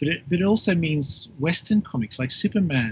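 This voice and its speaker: A man with an Australian accent talks at a moderate pace in a somewhat breathy voice. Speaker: professor. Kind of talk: interview. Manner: halting.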